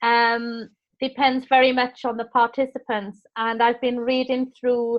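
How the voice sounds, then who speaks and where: With a Welsh accent, a woman speaks at a high pitch in a flat monotone at a fairly slow pace. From Wales. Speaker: teacher trainer. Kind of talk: online course session.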